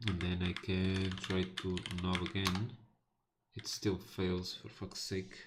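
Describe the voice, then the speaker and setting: With a Portuguese accent, a man speaks very slowly in a very deep, low pitch and a monotone, flat intonation. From northern Portugal. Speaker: programming live streamer. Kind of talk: live coding stream. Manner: casual, halting with fillers.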